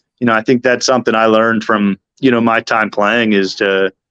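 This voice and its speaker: An American-accented man with a normal speaking voice talks at a fairly quick pace with fairly even intonation. His pitch is medium, and the sound is dry and close with no echo. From Philadelphia. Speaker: baseball team manager. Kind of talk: radio interview.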